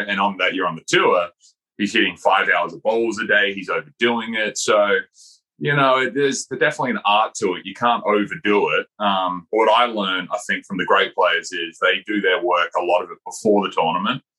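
Talking at a fairly quick pace, this man has an Australian accent. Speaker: golf teaching pro, former tour player. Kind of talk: casual chat.

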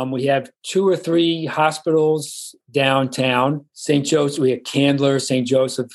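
A man with a New York accent, at a very slow pace. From New York, the Bronx. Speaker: retiree. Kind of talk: interview.

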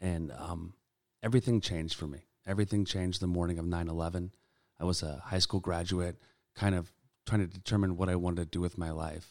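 A man's very deep, low voice with an American accent, very fast pace and fairly even intonation, in a very clean recording with a silent background. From Sacramento, California. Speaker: political candidate and army veteran. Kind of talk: interview.

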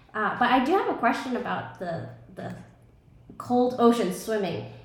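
A woman with an American accent speaks at a fairly slow pace in a fairly high voice, with noticeable background noise behind her. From New York, Brooklyn. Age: 30s. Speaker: breathwork and ice bath facilitator. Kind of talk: casual interview.

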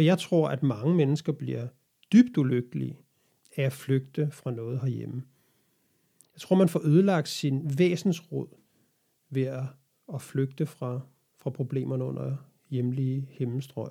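This man's somewhat breathy, dark, mellow voice sits at a medium pitch, with ordinary pitch variation, big swings in loudness and long, frequent pauses. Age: 40s. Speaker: podcast host. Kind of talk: solo monologue podcast. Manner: hesitant.

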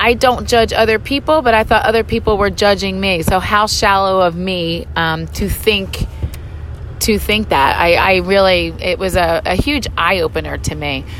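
A woman speaks at a moderate speed. Noticeable noise can be heard around her. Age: 50s. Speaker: podcast host and gym owner. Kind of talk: solo monologue. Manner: casual, frequent filler words.

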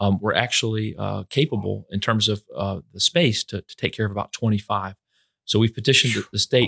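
On a very clean recording with a silent background and a dry, close sound without echo, a man with a fairly low pitch and vocal fry speaks fairly quickly, with ordinary pitch variation and big swings in loudness. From Florida, Fort Myers. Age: 40s. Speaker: hospital finance executive. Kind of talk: interview.

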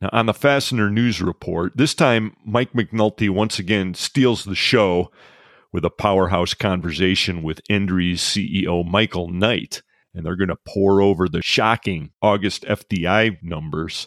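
A man with a normal speaking voice and a fairly low pitch speaks at a fairly slow pace with ordinary pitch variation. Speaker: podcast host. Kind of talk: casual chat.

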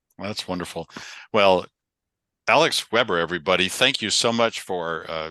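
Over a quiet background, a man's very deep, low voice comes through with a bright, sharp tone. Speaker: podcast host. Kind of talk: casual interview chat. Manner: calm, relaxed.

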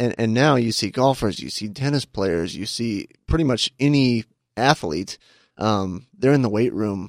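Over a silent background in a very clean recording, a man speaks in a normal speaking voice at a fairly slow pace, medium in pitch with ordinary pitch variation, the sound dry and close with no echo. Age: 30s. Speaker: fitness coach. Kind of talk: casual interview. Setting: studio.

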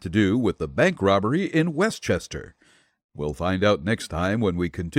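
A natural reading voice is heard with little behind it but a quiet background.

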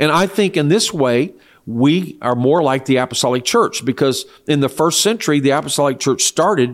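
A man's plain, everyday voice, fairly quick, with lively intonation. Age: 60s. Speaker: church leader. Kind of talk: interview.

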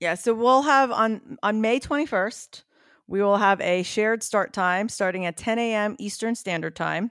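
In a plain, everyday voice, a woman speaks at a fairly slow pace with a fairly high pitch and ordinary pitch variation, on a very clean recording with a silent background. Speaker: podcaster and running event organizer. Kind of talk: casual chat.

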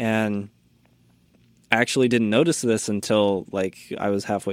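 In a normal speaking voice with an American accent, a man talks at a moderate pace at a fairly low pitch, recorded very cleanly against a silent background. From US Midwest, small-town Indiana. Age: 20s. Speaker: podcast producer. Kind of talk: casual interview.

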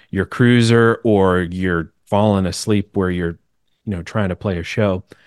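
A man with an American accent speaks at a moderate pace in a very deep, low pitch with fairly even intonation, in a dry, close sound with no echo and a quiet background. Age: 20s. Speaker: country singer-songwriter, former deputy. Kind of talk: casual interview chat.

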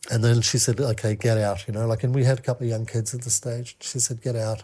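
A man's somewhat breathy, dark, mellow voice at a medium pitch, in a monotone, flat intonation with a slight Australian accent. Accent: somewhat Australian-sounding. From New Zealand. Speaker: men's mentor and coach. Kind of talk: casual interview chat.

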